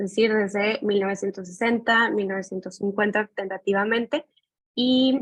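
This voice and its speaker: In a dry, close recording with no echo, a woman of medium pitch speaks with a Mexican accent at a moderate pace and with fairly even intonation. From Mexico. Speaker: graduate student. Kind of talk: thesis presentation.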